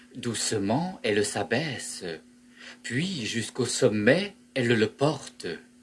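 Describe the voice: Text is read aloud here. The reading is plain.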